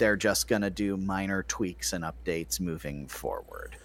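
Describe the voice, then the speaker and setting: Very deep, low male voice with very wide pitch swings and noticeable background noise. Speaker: podcast co-host. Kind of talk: casual banter podcast.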